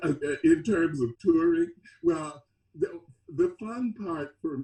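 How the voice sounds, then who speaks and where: Speaking very slowly in an American accent, a man has a high pitch, a dark, mellow tone and ordinary pitch variation. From US South, Mississippi. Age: 70s. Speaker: experimental band musician. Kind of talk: interview. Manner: halting.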